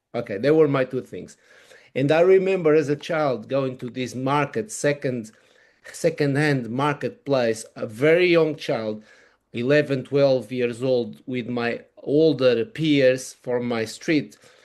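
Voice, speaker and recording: A man with a Portuguese accent speaks at a fairly slow pace and medium pitch. His pitch variation is ordinary, over a quiet background. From Portugal. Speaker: wearable technology consultant. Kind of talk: interview. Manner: halting.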